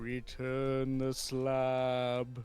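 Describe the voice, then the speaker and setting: Faint music plays in the background behind a put-on character voice pitched low to middle. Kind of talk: theatrical. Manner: menacing.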